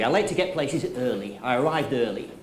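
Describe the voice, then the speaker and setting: Through noticeable background noise and audible room echo, a man's voice moves in very wide pitch swings. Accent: Manchester. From northern England, Manchester. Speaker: motivational speaker and trainer. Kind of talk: conference keynote talk.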